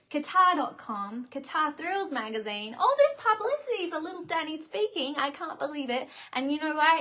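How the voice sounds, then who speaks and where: With a raised, projected voice and a bright, sharp tone, a woman speaks at a moderate pace with hardly any pauses, a high pitch, very wide pitch swings and big swings in loudness. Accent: Australian. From Australia. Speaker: singer-songwriter hosting livestream. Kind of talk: casual livestream chat. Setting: bedroom set livestream.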